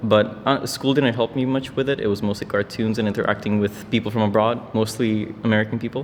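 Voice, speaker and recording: Very fast, flat, monotone male speech with a fairly low pitch and hardly any pauses, over noticeable background noise. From North Macedonia. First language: Macedonian. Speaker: international student. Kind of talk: interview answers.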